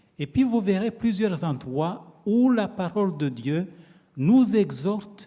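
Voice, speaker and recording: A dark, mellow tone at a very slow pace, with very wide pitch swings. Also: man. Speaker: pastor. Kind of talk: sermon. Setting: church. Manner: soft-spoken.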